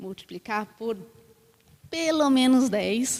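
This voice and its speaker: This is a woman speaking. She has a Brazilian accent. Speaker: panelist, design researcher at a tech company. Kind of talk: panel discussion. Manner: hesitant, many fillers.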